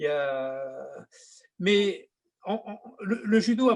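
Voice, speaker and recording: A man talks in a high-pitched voice. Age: 70s. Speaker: judo teacher, 8th dan. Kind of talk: interview. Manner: halting, many repetitions.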